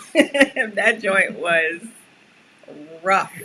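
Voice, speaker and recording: With a New York accent and lively intonation, a woman speaks at a very slow pace. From New York, USA (born in Suriname, moved at seven). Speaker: podcast co-host. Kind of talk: casual chat.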